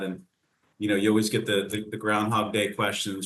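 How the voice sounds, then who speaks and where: In a Philadelphia accent, a man talks at a very fast pace. His voice sits at a medium pitch, with a bright, sharp tone. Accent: Philly. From Philadelphia suburbs, Pennsylvania. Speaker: country singer. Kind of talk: casual interview.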